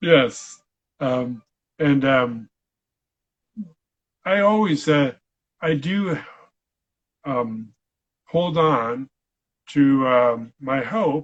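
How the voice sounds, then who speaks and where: The speech moves very slowly with an Upper Midwest US accent and lively intonation. Long pauses come often. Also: man, fairly high pitch for a man. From Michigan. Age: 60s. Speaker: veterinarian and stroke survivor. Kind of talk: interview. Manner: halting, many fillers.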